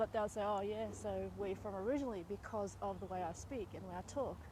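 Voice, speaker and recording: A woman speaks with an Australian accent at a moderate pace. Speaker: vlogger. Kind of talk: casual monologue. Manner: conversational with fillers.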